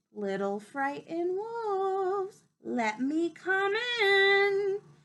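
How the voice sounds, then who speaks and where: A squeaky, put-on character voice at an extremely high pitch drawls out its words very slowly. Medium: read story. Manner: grunting.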